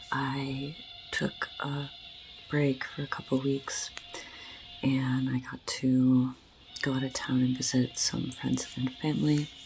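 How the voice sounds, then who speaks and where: With music in the background, a woman speaks very slowly in a very deep, low pitch and a monotone, flat intonation, taking long, frequent pauses. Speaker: ASMR astrologer and reiki healer. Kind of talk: casual talk to camera, astrology update.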